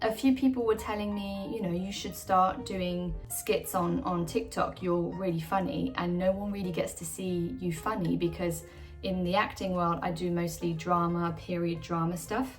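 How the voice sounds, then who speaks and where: Over music in the background, a woman speaks at a moderate pace with hardly any pauses. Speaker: actor. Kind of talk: casual talk to camera.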